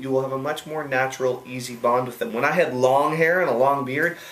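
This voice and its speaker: Speaking very fast in a fairly high pitch, a man has an American accent and fairly even intonation. Noticeable background noise and audible room echo fill the recording. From USA. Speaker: online marketing coach. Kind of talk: video Q&A answer. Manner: casual, many fillers and restarts.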